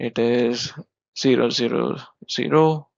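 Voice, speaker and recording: A man with an Indian accent and fairly even intonation. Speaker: software developer. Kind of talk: coding tutorial explanation. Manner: casual, explanatory.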